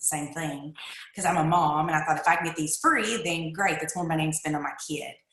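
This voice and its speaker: A woman with a very deep, low pitch and an eastern Kentucky accent, over noticeable background noise. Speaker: direct sales distributor. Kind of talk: personal testimony.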